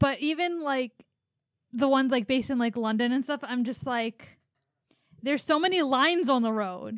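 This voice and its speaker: With long, frequent pauses at a moderate pace, a woman speaks in a high voice, the sound dry and close with no echo. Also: ordinary pitch variation. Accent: American. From US Philadelphia. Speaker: podcast host.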